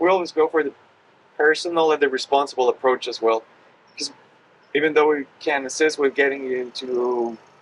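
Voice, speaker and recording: A man's fairly high voice at a fairly quick pace, fairly even in intonation, with long, frequent pauses. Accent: Spanish. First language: Spanish. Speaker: hospitality team member. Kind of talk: casual podcast chat.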